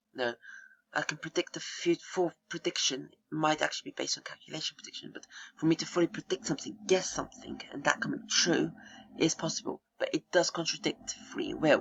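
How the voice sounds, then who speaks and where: The voice is soft-spoken. Its pace is moderate. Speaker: gaming channel video creator. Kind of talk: casual explanatory monologue. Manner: soft-spoken, speaking quietly; halting, many fillers.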